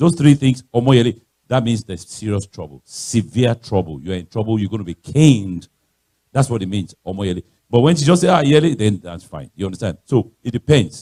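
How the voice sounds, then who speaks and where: A dark, mellow voice with a Nigerian accent moves at a fairly quick pace, with very wide pitch swings and big swings in loudness. The sound is dry and close, with no echo. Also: man, medium pitch for a man. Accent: Nigerian (Yoruba) English. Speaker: guest speaker, pastor. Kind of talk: sermon-style talk.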